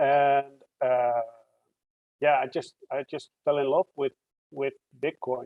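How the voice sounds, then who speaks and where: A man with a Dutch accent speaks in a fairly high pitch. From Netherlands. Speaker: computer science researcher. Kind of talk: interview.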